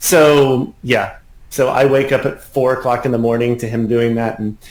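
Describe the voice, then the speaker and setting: A man with an unremarkable speaking voice talks at a moderate pace in a medium pitch with fairly even intonation. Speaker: piano teacher. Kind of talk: interview.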